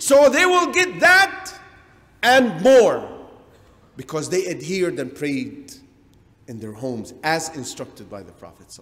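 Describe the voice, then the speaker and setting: Speaking at a fairly slow pace, a man leaves long, frequent pauses and makes big swings in loudness. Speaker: religious lecturer. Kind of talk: lecture. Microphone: podium.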